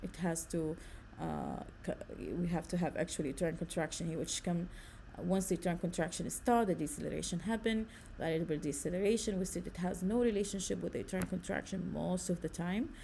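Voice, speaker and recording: Speaking at a fairly quick pace with an Arabic accent, a woman has a dark, mellow tone, vocal fry and a fairly low pitch, with ordinary pitch variation and audible room echo. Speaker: nursing lecturer. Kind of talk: lecture.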